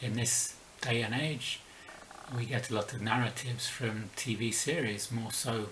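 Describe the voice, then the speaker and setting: With audible room echo and noticeable background noise, a man with a slight London accent speaks at a moderate pace and medium pitch, with fairly even intonation. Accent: weak London. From southern England (Slough, near London). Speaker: book vlogger. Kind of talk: video essay.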